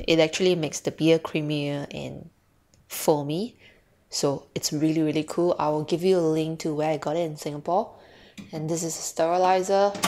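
A woman speaks at a moderate pace with fairly even intonation. Her pitch is very deep and low. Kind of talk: casual home tour narration. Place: kitchen. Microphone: phone near.

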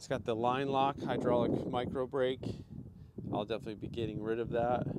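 Loud background noise behind a man's moderate-paced speech, the sound dry with no echo. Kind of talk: casual vlog commentary. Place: street. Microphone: phone near.

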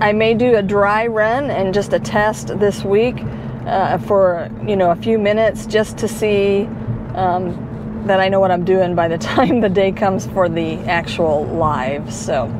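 A woman talks at a very slow pace, her pitch swinging very widely. The sound is dry with no echo, though noticeable background noise runs underneath. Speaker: delivery driver vlogger. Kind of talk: casual vlog chat. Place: car. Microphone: lapel.

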